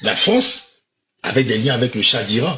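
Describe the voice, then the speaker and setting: In a mid-level pitch, a man draws out his speech at a very slow pace. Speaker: political commentator. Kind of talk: political commentary monologue. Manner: emphatic, repetitive.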